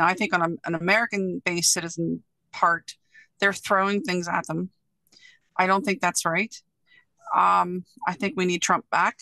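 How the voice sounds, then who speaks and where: A woman with a bright, sharp tone speaks at a moderate pace with ordinary pitch variation and long, frequent pauses. The background is quiet and the sound is dry, with no echo. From Venezuela. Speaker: focus group participant. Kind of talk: focus group discussion. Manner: animated. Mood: frank, critical opinions. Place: home room. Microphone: video call.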